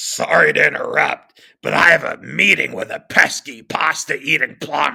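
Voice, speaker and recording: A man does a put-on character voice with a raspy, menacing tone. He speaks at a moderate pace. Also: hardly any pauses. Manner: cruel, menacing.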